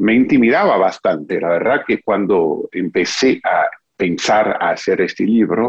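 A man speaks with an English accent at a medium pitch. His pace is fairly slow. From US, Texas (Houston). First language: English (speaking Spanish). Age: 40s. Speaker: author and biographer. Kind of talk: interview. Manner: halting.

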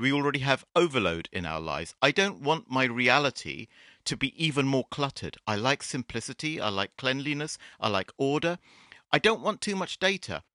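A man's fairly high, bright, sharp voice with vocal fry and very wide pitch swings, at a moderate pace, dry and close with no echo, over a quiet background. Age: 50s. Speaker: VR game developer. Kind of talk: interview.

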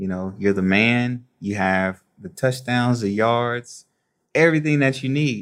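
With ordinary pitch variation and a moderate pace, a man talks in an unremarkable speaking voice. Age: 30s. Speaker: former pro football player and personal trainer. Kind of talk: interview.

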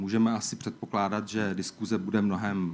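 A man with a Czech accent, fairly low in pitch, at a fairly slow pace with fairly even intonation. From Czech Republic. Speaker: EU official. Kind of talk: opening speech.

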